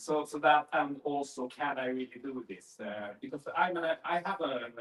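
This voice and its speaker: Against noticeable background noise, a man with a Swedish accent and a fairly high pitch speaks at a moderate pace with ordinary pitch variation. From Sweden. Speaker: workshop participant. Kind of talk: group sharing. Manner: halting.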